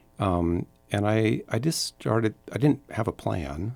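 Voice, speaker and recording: With music playing in the background, a man with an American accent speaks with ordinary pitch variation. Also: dry, close sound with no echo. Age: 60s. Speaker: entrepreneur. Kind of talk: casual chat. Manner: halting.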